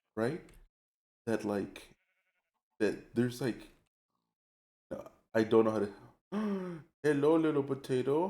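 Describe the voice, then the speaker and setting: Speaking in an American accent with a dark, mellow tone, a man with a fairly high pitch uses lively intonation at a very slow pace with long, frequent pauses. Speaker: vtuber streamer. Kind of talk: casual live stream chat while gaming. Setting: late-night live stream. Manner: casual, filler-heavy, rambling.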